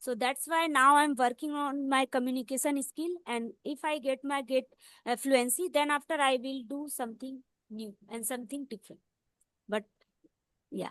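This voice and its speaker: Someone with an Indian accent speaks at a moderate pace with fairly even intonation and big swings in loudness, the sound dry and close with no echo over a quiet background. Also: woman, high pitch for a woman. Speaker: English learner. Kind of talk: casual conversation practice.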